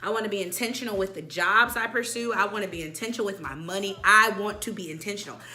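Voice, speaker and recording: A woman at medium pitch, very fast and with lively intonation, amid audible room echo and noticeable background noise. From military kid, moved between countries. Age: 20s. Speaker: vlogger. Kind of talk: casual chat.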